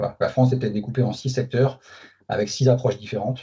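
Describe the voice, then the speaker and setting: This man's voice is somewhat breathy. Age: 40s. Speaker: company manager. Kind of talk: interview. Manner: hesitant, many fillers.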